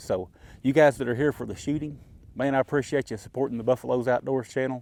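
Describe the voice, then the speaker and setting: The speaker has an Appalachian accent and talks at a fairly quick pace. The intonation stays fairly even. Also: man. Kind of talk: casual vlog talk while walking. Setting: outdoors.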